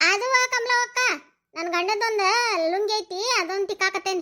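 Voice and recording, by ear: A woman does a squeaky, cartoonish character voice at an extremely high pitch, keeping a moderate pace and fairly even intonation.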